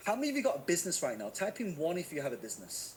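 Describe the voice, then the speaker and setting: A man's energetic, high-pitched voice in a Manchester accent, with very wide pitch swings and a very fast pace. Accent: northern English, Manchester. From northern England, Manchester. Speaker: online marketing teacher. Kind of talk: live webinar teaching. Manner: energetic, engaging.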